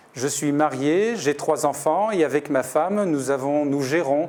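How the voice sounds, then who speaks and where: This man talks at a very slow pace in a fairly high voice, with ordinary pitch variation. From Paris, France. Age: 60s. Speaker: doctor and municipal election candidate. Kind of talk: interview portrait. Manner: hesitant, many fillers.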